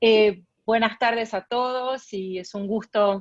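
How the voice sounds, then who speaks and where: A woman in a Tucumán accent, monotone and flat in intonation, with a dry, close sound and no echo. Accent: Argentine, Tucumán. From Argentina, Tucumán. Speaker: arbitration lawyer and arbitrator. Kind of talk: guest lecture. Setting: video call.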